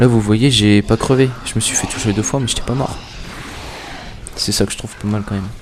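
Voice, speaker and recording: A man talks fairly quickly at a medium pitch, his intonation fairly even, with noticeable background noise behind him. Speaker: gaming YouTuber. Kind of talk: gameplay commentary. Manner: fast; casual, hesitant.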